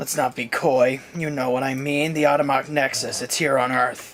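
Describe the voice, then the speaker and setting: A man does a raspy put-on character voice at a medium pitch. His intonation is monotone and flat, at a moderate pace. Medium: audio drama. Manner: smug.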